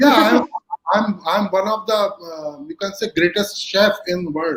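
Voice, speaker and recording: A man's high-pitched voice at a fairly slow pace, with lively intonation. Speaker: corporate HR executive and speaker. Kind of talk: live webinar interview. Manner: hesitant, many fillers.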